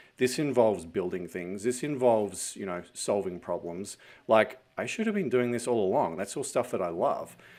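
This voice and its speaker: In a very clean recording with a silent background, a man with an Australian accent talks at a fairly low pitch. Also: ordinary pitch variation, moderate pace. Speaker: fractional CFO and entrepreneur. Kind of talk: podcast interview.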